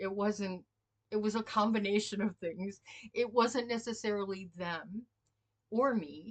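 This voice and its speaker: A woman's ordinary speaking voice. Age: 60s. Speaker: spiritual healer and former pastor. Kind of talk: casual spiritual talk. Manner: informal, storytelling.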